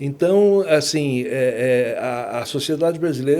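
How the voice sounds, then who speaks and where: A man's very slow speech with lively intonation. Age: 60s. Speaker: law professor. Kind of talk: podcast interview. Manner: hesitant, many fillers.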